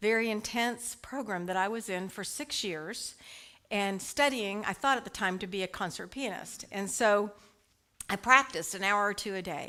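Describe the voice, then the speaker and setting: A woman with a slight Texas accent, medium in pitch and bright, sharp in tone, at a moderate pace with ordinary pitch variation. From US, Dallas Texas. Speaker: licensed prayer practitioner and speaker. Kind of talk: spiritual talk to congregation. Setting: church service with live audience, also online. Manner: casual, conversational.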